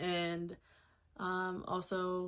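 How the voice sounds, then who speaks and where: With a Mid-Atlantic US accent, a woman speaks at a fairly low pitch. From Delaware, US. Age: 30s. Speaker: lifestyle vlogger. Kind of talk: casual vlog talk. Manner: casual, filler-heavy.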